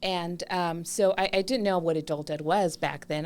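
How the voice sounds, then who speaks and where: This is a woman speaking with a Spanish accent. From Mexico (Chihuahua), raised in San Diego area from age 8. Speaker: adult school assistant principal. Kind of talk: podcast interview. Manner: enthusiastic.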